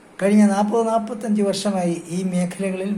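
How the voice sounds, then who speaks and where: In a high pitch, a man speaks in a flat monotone, with audible room echo. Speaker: music director. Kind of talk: welcome message. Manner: formal.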